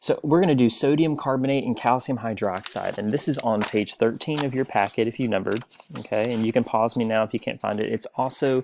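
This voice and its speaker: A man speaks at a very fast pace and medium pitch, with ordinary pitch variation and hardly any pauses. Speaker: teacher. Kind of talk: tutorial. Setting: recorded video lesson for online class.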